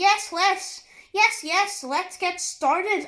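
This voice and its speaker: A woman puts on a squeaky character voice at an extremely high pitch, speaking at a very slow pace with ordinary pitch variation. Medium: read story. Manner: agreeable, a bit muddled.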